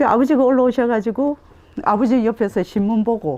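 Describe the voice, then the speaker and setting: A woman's animated voice at a moderate pace. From South Korea, Gyeongsang (Tongyeong). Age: 60s. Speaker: framing craftsperson. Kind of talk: oral history interview. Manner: animated storytelling.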